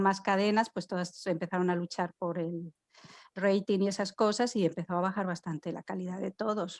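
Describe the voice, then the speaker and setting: A woman of medium pitch speaks in a flat monotone at a moderate pace, her voice dry and close with no echo in a very clean recording with a silent background. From Spain. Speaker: podcast co-host. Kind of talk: casual chat.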